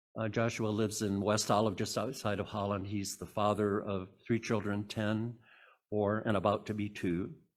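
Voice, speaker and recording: In a very clean recording with a silent background, a man speaks at a moderate pace in a fairly low, monotone voice with flat intonation. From Michigan, US Midwest. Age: 80s+. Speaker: retired librarian, lay speaker. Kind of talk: lay sermon reading. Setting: church service. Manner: reading from script, some stumbles.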